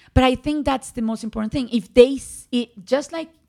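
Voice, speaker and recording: A woman with a Spanish accent and a fairly high pitch. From Colombia, Medellin. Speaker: physician. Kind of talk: interview. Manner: animated.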